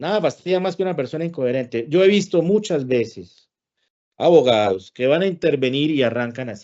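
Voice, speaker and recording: Pitched fairly high, a man with a Santander Colombian accent talks with very wide pitch swings. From Colombia, Santander. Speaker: lawyer and arbitrator giving a talk. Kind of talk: lecture. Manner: blunt, sometimes heard as scolding.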